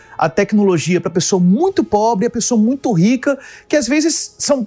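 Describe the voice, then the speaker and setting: Music plays in the background as a man talks at a high pitch. His intonation is lively. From Brasília, Brazil. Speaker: tech tools specialist and community founder. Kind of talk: casual interview. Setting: radio studio.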